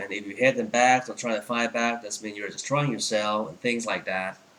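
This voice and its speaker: A man speaks at a medium pitch with fairly even intonation. Noticeable background noise is present. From Thailand. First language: Thai. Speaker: Apple store employee and tech vlogger. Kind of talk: product review tutorial. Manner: halting, many fillers.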